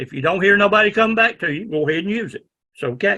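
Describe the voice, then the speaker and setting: Loud and bright with a sharp tone, a man speaks at a high pitch and moderate pace with lively intonation and a Southern US accent. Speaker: ham radio instructor. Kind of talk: lecture.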